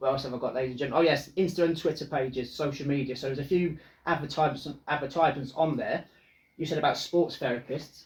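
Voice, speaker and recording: Somewhat breathy and fairly high in pitch, a man talks at a very fast pace with fairly even intonation. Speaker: football podcast co-host. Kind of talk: casual chat.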